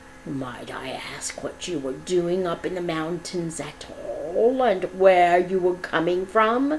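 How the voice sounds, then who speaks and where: Over clear background noise, a female-sounding put-on character voice speaks at a very slow pace with a middle pitch. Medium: read story. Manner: menacing, accusing.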